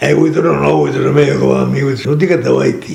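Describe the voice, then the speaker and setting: Speaking at a very fast pace in a Venetian accent, a man talks over noticeable background noise. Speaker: former worker, communist laborer. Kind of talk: interview answer. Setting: at home.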